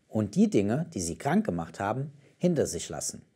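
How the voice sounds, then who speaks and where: The setting has a quiet background. A man speaks there at a moderate pace. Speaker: German-language show presenter. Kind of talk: announcement, closing message. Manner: formal, warm. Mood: warm, calm, encouraging.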